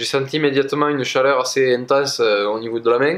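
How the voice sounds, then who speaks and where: A man speaks at a fairly quick pace in a fairly high pitch, with a slight southwestern French accent. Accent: slight south-west French. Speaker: energy healer. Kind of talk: casual personal story to camera. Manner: hesitant, many fillers.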